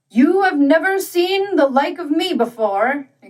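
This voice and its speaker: At a fairly slow pace, a woman puts on a character voice pitched extremely high. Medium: read story. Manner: genial, cheery, hearty.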